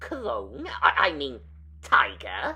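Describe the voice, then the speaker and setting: This put-on character voice comes over light background noise. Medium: audio drama. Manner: clucking.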